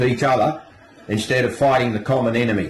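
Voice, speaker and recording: A man in a strong Australian accent, fairly quick delivery, fairly even intonation, noticeable background noise. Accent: broad Australian. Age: 70s. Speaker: retiree ranting. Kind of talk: angry rant.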